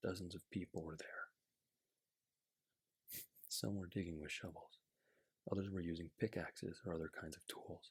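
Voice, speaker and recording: A soft-spoken man talks at a very deep, low pitch in a relaxed, somewhat breathy tone, with fairly even intonation. His pace is moderate, with long, frequent pauses and big swings in loudness. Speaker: ASMR creator. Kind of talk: children's picture book reading. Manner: soft-spoken, relaxed.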